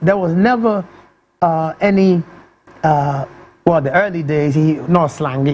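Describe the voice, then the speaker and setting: Pausing long and often, a man with a high pitch speaks at a fairly slow pace using lively intonation. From born in London, raised largely in Ghana. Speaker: musician, rapper. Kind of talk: interview.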